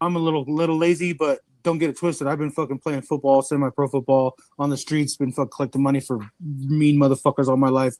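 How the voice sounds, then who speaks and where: A man with a fairly high pitch talks at a very fast pace, the sound dry and close with no echo. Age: 40s. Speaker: tradesman and business owner in a live stream. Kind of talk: heated rant in a live stream chat. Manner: animated; halting, repeating words.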